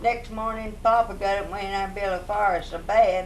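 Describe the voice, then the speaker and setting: Noticeable background noise sits behind a woman with an Appalachian accent. She speaks at a moderate pace and medium pitch. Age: 80s+. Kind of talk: storytelling.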